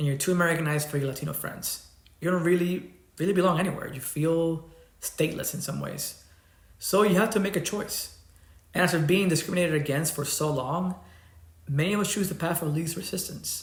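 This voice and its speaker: A man with a slight Cuban accent talks fairly quickly at a high pitch with fairly even intonation. Audible room echo and noticeable background noise come through. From Cuba, then Miami. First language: Spanish. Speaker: YouTuber. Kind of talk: personal vlog monologue.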